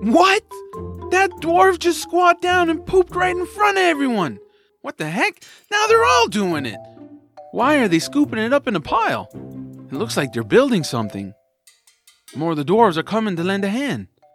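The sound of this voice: A put-on character voice from a man, extremely high in pitch with big pitch swings and a fairly bright tone, over faint music in the background. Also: moderate pace.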